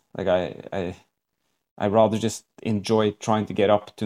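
Delivered at a moderate pace with fairly even intonation in a Norwegian accent, the speech has a dry, close sound with no echo on a very clean recording with a silent background. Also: man. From Norway. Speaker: wingsuit BASE jumper and coach. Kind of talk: casual interview chat. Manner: halting.

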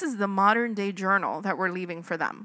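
An animated woman's voice, medium in pitch, bright and sharp in tone, with ordinary pitch variation on a very clean recording with a silent background. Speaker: podcast co-host. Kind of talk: casual chat. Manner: excitable, animated.

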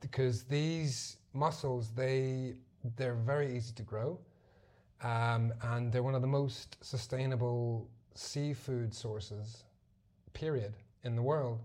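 A man talks at a very slow pace with a dark, mellow tone. His voice is somewhat breathy, and his intonation is fairly even. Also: medium pitch for a man. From Zimbabwe and Belfast. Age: 30s. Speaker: marine conservationist. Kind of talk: casual chat.

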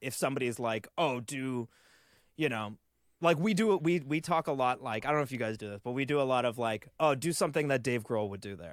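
In a normal speaking voice, a man talks at a fairly quick pace with medium pitch and lively intonation. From Canada. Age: 30s. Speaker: touring drummer. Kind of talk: casual chat.

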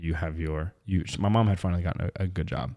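In a very clean recording with a silent background, a man with an American accent speaks at a moderate pace, his very deep, low voice dark and mellow in tone. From Missouri, US Midwest. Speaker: electrician sharing faith testimony. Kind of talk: testimony.

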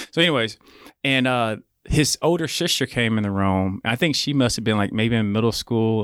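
Moderate pace and ordinary pitch variation in an Oklahoma accent, on a very clean recording with a silent background. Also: man. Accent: Oklahoma, US South. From Oklahoma City, Oklahoma. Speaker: podcast producer and studio owner. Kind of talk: casual chat.

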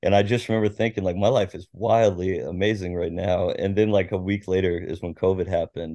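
Speaking with an American accent at a fairly quick pace, this voice has a dark, mellow tone and ordinary pitch variation over a quiet background. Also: man. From Washington State, US (Tacoma). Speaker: sports journalist. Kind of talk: interview.

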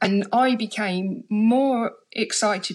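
Here a woman speaks with a London accent. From London, England (Harlesden). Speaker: deaf writer and performer. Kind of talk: casual chat. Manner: halting, repeats words.

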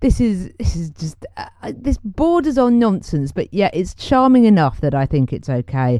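A woman with a British accent speaks at a fairly slow pace in a warm tone. Her pitch swings very widely. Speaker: podcast host. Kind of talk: solo music show presenting. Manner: chatty, warm, casual.

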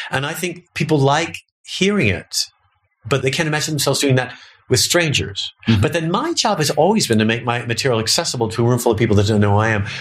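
Somewhat breathy, a man races along at a very fast pace with lively intonation at medium pitch. The recording is very clean, with a silent background. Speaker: comedian. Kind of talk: casual interview chat.

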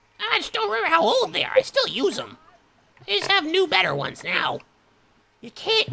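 Putting on a character voice, a man speaks with an extremely high pitch at a fairly quick pace. Long, frequent pauses break up his speech. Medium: actual play. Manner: absent-minded, doddering.

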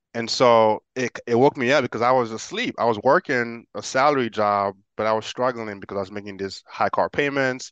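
In an American accent, the speaker talks at a fairly quick pace with hardly any pauses and ordinary pitch variation, in a dry, close sound with no echo against a quiet background. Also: man, medium pitch for a man. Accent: good English, slight Haitian trace implied. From Haiti, raised in the US from age nine. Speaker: real estate investor, engineer. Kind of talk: casual interview. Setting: video call.

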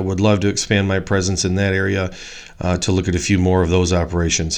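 His pace is fairly quick. The speaker is a man with an American accent. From northern Illinois, US Midwest. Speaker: podcast host, agricultural lender and farmer. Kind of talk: solo monologue podcast intro. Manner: halting, many fillers.

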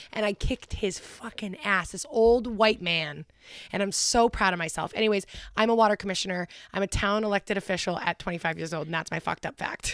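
An ordinary speaking voice from a woman, medium-pitched with ordinary pitch variation and a fairly quick pace, on a very clean, dry, close recording with a silent background and no echo. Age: 20s. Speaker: podcast co-host. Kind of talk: casual chat; reading aloud.

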